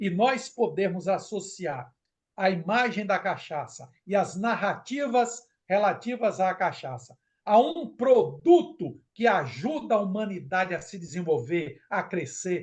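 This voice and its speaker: A man's high voice, fairly slow, with very wide pitch swings. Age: 70s. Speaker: professor and technical director of a producers' association. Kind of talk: interview. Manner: animated.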